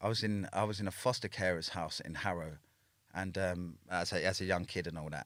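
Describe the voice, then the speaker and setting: Speaking with a London accent, a man with a very deep, low pitch goes at a fairly quick pace with fairly even intonation, on a very clean recording with a silent background. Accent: London street English. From Northwest London, England. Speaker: former prisoner telling his life story. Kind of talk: casual interview.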